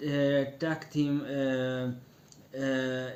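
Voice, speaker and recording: A man speaks with a non-native accent and a fairly high pitch. His intonation is monotone and flat. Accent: non-native English speaker. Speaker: wrestling commentator. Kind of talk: casual online radio-style commentary. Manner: hesitant, many fillers.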